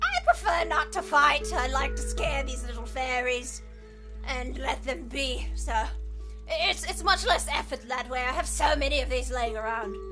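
Loud music plays in the background. A woman does a put-on character voice at a moderate pace. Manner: scolding, shooing off pests.

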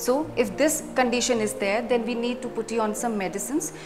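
A woman talks with ordinary pitch variation as clear music plays in the background. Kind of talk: medical explainer. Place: office. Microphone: lapel.

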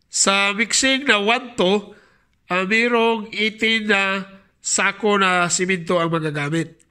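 A man's raised, projected voice in a Visayan accent, high in pitch with a bright, sharp tone, very slow in pace, with ordinary pitch variation and very even loudness. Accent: Bisaya-accented Tagalog. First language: Bisaya (speaking Tagalog). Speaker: mason and YouTuber. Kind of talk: tutorial. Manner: halting.

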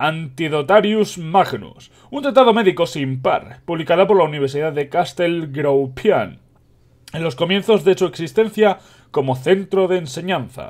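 In a Spanish accent, the speaker talks at a fairly slow pace with lively intonation on a very clean recording with a silent background. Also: man, high pitch for a man. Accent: Peninsular Spanish. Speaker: video game youtuber reading a book aloud. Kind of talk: reading aloud with casual commentary. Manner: halting, stumbles and self-corrects.

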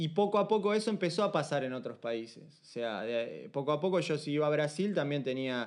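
With a Uruguayan accent, a man talks at a moderate pace in a fairly high pitch. His intonation is lively, over a quiet background. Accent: Rioplatense Spanish (Uruguayan). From Uruguay, Montevideo. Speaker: street dancer and dance teacher. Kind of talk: casual chat.

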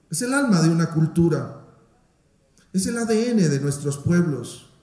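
Audible room echo surrounds a man talking at a moderate pace in a voice pitched high for a man. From Guatemala. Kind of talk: formal speech. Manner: formal. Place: hall. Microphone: podium.

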